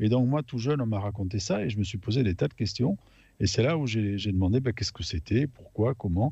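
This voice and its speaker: Against a quiet background, a man speaks at a fairly quick pace in a fairly low pitch, his dark, mellow tone somewhat breathy. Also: ordinary pitch variation. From France, Aveyron. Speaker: radio panelist. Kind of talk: casual chat.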